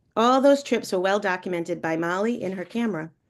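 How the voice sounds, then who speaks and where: A woman with a New England accent speaks at a moderate pace and medium pitch. Her pitch varies in an ordinary way against a quiet background. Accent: New England, non-rhotic. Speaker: college friend giving a tribute. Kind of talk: eulogy read aloud. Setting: video call.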